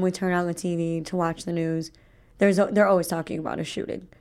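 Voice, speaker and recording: A woman with a Chicago accent in a very clean recording with a silent background. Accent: Chicago American. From Chicago suburbs, Illinois. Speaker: student radio co-host. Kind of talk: casual chat. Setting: radio studio.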